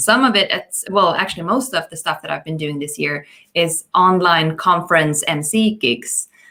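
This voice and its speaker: With a strong southern Swedish accent, a woman speaks at a moderate pace in a fairly low pitch, her tone bright and sharp and her intonation lively. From southern Sweden. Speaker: magician and event host. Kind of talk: casual chat.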